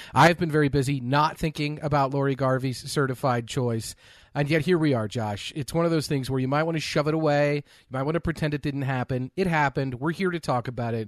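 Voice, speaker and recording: A man with an ordinary speaking voice at a fairly quick pace, with hardly any pauses. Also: fairly high pitch for a man. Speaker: podcast host. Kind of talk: casual chat.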